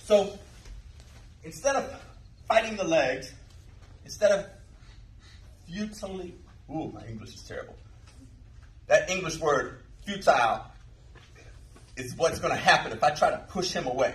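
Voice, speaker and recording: A man speaks at a high pitch with very wide pitch swings and big swings in loudness, at a moderate pace broken by long, frequent pauses. Audible room echo and noticeable background noise surround his voice. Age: 50s. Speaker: jiu jitsu instructor. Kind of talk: tutorial. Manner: casual.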